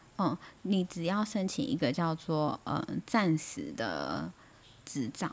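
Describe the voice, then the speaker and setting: This woman speaks very slowly with a Taiwanese accent, her fairly low pitch carrying vocal fry and lively intonation. The recording is very clean, with a silent background. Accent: Taiwanese Mandarin. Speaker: nurse. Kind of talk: casual chat.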